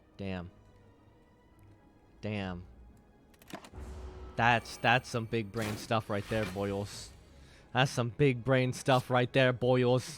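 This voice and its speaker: A man talks at a medium pitch, leaving long, frequent pauses. Music plays in the background. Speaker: gaming streamer. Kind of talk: gameplay commentary. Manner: fast; animated.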